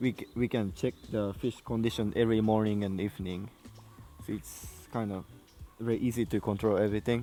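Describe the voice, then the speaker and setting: With a Japanese accent, a man talks at a fairly quick pace and fairly low pitch, fairly even in intonation, with long, frequent pauses and music in the background. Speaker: koi farmer. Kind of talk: casual chat. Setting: outdoors. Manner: halting.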